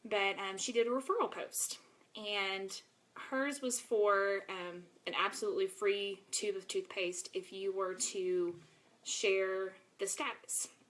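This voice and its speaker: With an American accent, a woman talks at a very slow pace in fairly even intonation. Noticeable background noise runs behind her. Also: medium pitch for a woman. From East Texas (Longview). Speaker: network marketing seller. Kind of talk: live video presentation. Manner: casual, filler-heavy.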